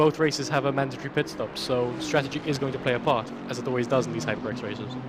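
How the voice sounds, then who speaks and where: Over music in the background, a man talks very fast at medium pitch with ordinary pitch variation. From Malta. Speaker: sim racing co-commentator. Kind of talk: live commentary.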